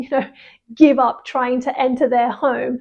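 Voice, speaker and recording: A woman with a British RP accent speaks at a high pitch. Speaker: English teacher. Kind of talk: English vocabulary lesson. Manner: casual, conversational.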